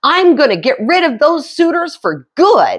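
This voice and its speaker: This female-sounding voice is a put-on character voice pitched extremely high for a woman. It moves at a moderate pace. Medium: read story. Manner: sharp-tongued, plainspoken.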